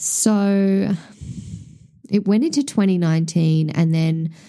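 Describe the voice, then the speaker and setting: At a fairly slow pace, a woman with an Australian accent speaks in a dark, mellow tone at a fairly low pitch with ordinary pitch variation. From Tasmania, Australia. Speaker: podcast host and small business owner. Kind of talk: solo podcast monologue.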